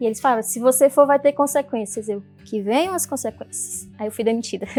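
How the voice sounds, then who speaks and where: A woman with a northeastern Brazilian accent speaks at a fairly quick pace in a fairly high pitch with ordinary pitch variation. Music plays in the background, and her loudness swings widely. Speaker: poet and social entrepreneur. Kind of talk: personal story talk.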